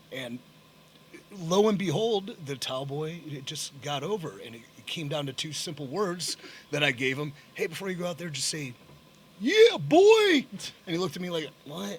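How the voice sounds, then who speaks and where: At a moderate pace, a man with an unremarkable speaking voice and a fairly high pitch speaks with lively intonation and big swings in loudness. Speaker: professional wrestler. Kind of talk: podcast interview answer.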